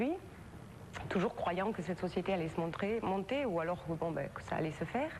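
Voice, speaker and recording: A woman talks with a fairly low-pitched voice. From southern France, Perpignan area. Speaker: talk show guest, victim of a compulsive liar. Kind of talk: TV interview testimony. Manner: halting, many hesitations.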